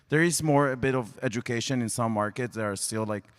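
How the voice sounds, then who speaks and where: A man speaks with an Israeli accent. He goes at a fairly quick pace. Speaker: sports media executive. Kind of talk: panel discussion.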